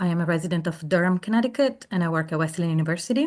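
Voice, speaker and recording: A woman with a non-native accent, fairly low in pitch, at a very fast pace with ordinary pitch variation against a quiet background. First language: not English. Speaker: language professor giving public testimony. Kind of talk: public hearing testimony. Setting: remote testimony, not in person. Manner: formal, prepared statement.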